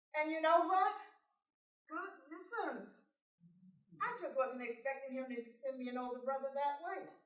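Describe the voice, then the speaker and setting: This woman's tone is bright and sharp, and her intonation is lively. Some room echo can be heard. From California, born in Texas. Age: 60s. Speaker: motivational speaker. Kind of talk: personal testimony speech.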